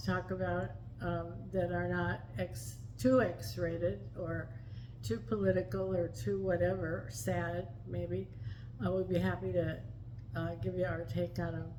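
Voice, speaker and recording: A woman speaks at a fairly slow pace with very wide pitch swings. There is audible room echo. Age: 70s. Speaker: vlogger. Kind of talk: casual chat.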